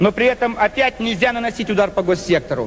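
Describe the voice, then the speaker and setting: Noticeable background noise runs under a man talking at a very fast pace. His voice is high, with ordinary pitch variation. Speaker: politician. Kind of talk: political speech to parliament.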